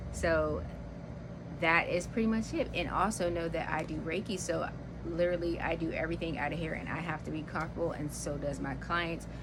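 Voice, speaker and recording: Audible room echo surrounds this recording. A woman talks at a fairly quick pace. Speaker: soap maker and vlogger. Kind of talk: casual vlog. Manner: fast.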